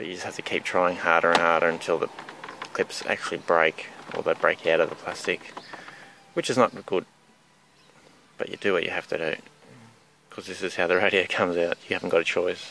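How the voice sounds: A man speaks at a low pitch and a fairly quick pace, his bright, sharp tone showing vocal fry and little pitch movement, with long, frequent pauses.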